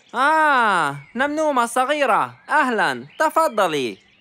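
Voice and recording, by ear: Putting on a character voice, a woman speaks fairly slowly at a fairly high pitch with big pitch swings and a bright, sharp tone.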